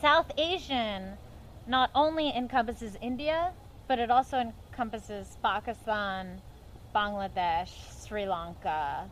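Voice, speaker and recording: In an American accent, a woman with a fairly high pitch talks fairly slowly, her pitch swinging very widely. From western Pennsylvania, near Pittsburgh. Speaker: actress and filmmaker. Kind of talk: casual interview chat.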